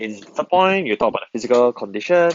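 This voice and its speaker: A man's lively intonation at a fairly quick pace. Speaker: biology tutor. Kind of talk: lecture. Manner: fast; hesitant, many fillers.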